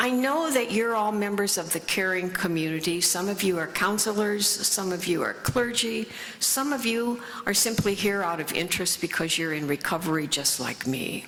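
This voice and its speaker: A woman of medium pitch with a US Midwestern accent speaks at a moderate pace with lively intonation, over noticeable background noise and audible room echo. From US Midwest, Lafayette, Indiana. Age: 80s+. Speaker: author and recovery speaker. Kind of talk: conference talk. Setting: stage with audience. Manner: halting.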